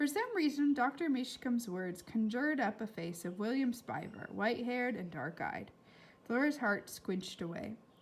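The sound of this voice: A woman with a fairly high pitch speaks at a fairly slow pace. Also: lively intonation.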